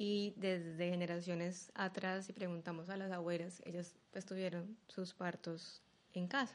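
The delivery is fairly slow and the intonation monotone and flat. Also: woman, medium pitch for a woman. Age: 30s. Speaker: physician and birth attendant. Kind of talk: interview conversation.

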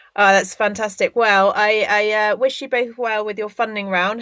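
A woman of medium pitch speaks in a bright, sharp tone with flat, monotone intonation. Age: 30s. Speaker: podcast host. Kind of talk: podcast interview.

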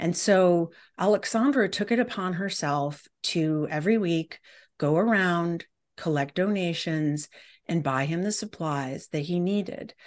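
Against a quiet background, a woman with an unremarkable speaking voice and a fairly low pitch talks at a fairly slow pace with lively intonation. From US Midwest, Detroit. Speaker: professor and anthropologist. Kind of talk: interview conversation.

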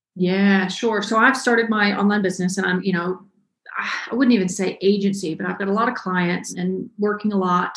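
A woman with an American accent has a medium pitch and a somewhat breathy voice. Her intonation is fairly even. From US South, North Georgia. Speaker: web developer and online educator. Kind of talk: interview.

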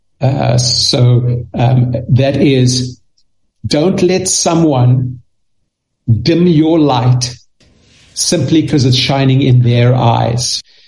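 At a very slow pace with long, frequent pauses, a somewhat breathy man speaks in a medium pitch with ordinary pitch variation. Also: very even loudness. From South Africa. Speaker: children's author and speaker. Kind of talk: interview. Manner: halting, repeats words.

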